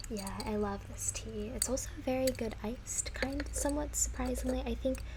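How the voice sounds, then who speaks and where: There is noticeable background noise as a woman speaks. Her pace is moderate. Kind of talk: ASMR roleplay of a tea shop clerk. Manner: friendly, helpful, relaxed customer-service tone.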